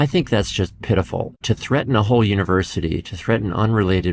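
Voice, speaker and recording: A calm man with an American accent at a moderate pace, ordinary pitch variation, on a very clean recording with a silent background. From United States. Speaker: professor. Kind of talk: interview. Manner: calm, even-keeled.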